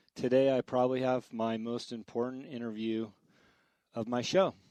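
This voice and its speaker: A normal speaking voice comes through at a moderate pace, the sound dry and close with no echo over a quiet background. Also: man. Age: 50s. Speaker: podcast host. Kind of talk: interview intro and conversation. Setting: at guest's house.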